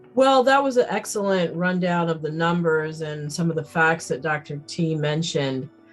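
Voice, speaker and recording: Music plays in the background as a woman talks. Her pace is moderate, with hardly any pauses. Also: lively intonation. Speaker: emergency physician. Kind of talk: interview answer.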